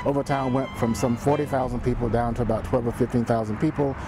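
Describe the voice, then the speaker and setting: Music plays in the background as a man speaks at a medium pitch. His pace is very fast and his intonation fairly even. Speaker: historian and author. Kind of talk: interview.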